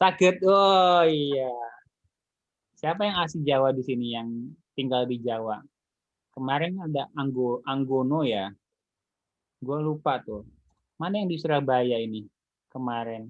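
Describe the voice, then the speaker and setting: Man with a Jakarta accent, lively in intonation, at a fairly slow pace with long, frequent pauses. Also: medium pitch for a man. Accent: picks up a Betawi (Jakarta). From Indonesia, not Betawi. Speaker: university lecturer. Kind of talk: online lecture. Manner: casual, with fillers.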